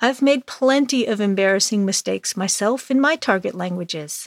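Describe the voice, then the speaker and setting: A woman with a normal speaking voice talks at a fairly slow pace, her fairly high pitch carrying lively intonation. The recording is very clean with a silent background, and the sound is dry and close with no echo. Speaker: English teacher podcaster. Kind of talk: storytelling lesson.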